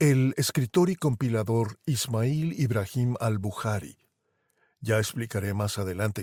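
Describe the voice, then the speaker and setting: Talking at a fairly slow pace with lively intonation, a man with a medium-pitched voice and a dark, mellow tone is heard in a very clean recording with a silent background and a dry, close sound with no echo. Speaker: podcast host and narrator. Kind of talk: podcast commentary narration.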